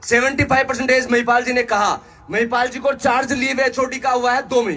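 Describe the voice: A man with an extremely high pitch and a bright, sharp tone talks at a fairly quick pace with fairly even intonation.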